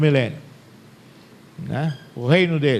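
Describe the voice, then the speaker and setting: This is a male speaker. His intonation rises and falls in a normal, typical way. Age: 60s. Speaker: Bible teacher. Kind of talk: lecture. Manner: conversational.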